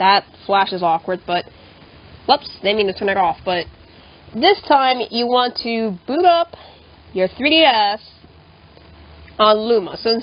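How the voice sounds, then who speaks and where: Speaking fairly slowly in a fairly high voice, a woman leaves long, frequent pauses. Her intonation is lively, and background noise is noticeable. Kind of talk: casual tutorial talk. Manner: casual, swears often.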